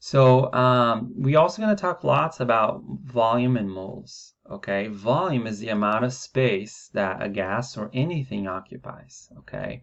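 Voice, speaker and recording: An ordinary speaking voice from a man, fairly slow in pace, with lively intonation and hardly any pauses. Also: medium pitch for a man. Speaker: science teacher. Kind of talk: lecture. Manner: casual, with fillers.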